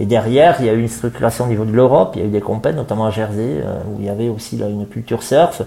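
Noticeable background noise surrounds this man's speech. His pitch is medium and his pace very fast. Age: 40s. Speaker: surf club director. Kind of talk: interview. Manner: halting, many fillers.

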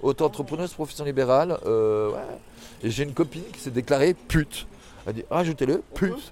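Moving at a fairly quick pace, a man speaks with ordinary pitch variation and big swings in loudness. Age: 40s. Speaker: former sex worker. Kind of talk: interview. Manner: animated; halting.

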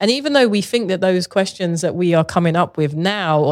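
A woman speaks with a London accent at a fairly low pitch. The recording is very clean, with a silent background. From Southeast London, England. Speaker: visual artist. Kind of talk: casual interview chat.

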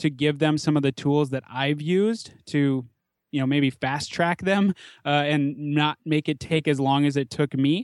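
A man with an American accent speaks at a moderate pace in an unremarkable speaking voice, fairly high in pitch, with fairly even intonation. The recording is very clean and dry, close with no echo, and the background is silent. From US Midwest, Minnesota (Twin Cities suburbs). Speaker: chiropractor and podcaster. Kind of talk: interview conversation.

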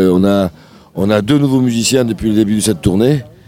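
Music plays in the background as a man speaks in a fairly low voice. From southern France, Sète. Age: 60s. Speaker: singer and guitarist. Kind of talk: radio interview. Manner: halting.

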